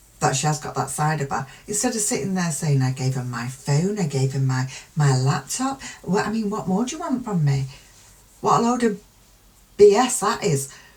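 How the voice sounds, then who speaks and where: Against noticeable background noise, a woman speaks at a very deep, low pitch with very wide pitch swings. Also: moderate pace. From UK. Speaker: true crime youtuber. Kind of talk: casual commentary.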